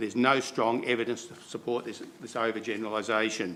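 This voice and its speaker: This man speaks at a very fast pace in an Australian accent, his pitch sitting in the medium range. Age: 70s. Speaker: farmer. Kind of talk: public submission. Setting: council meeting.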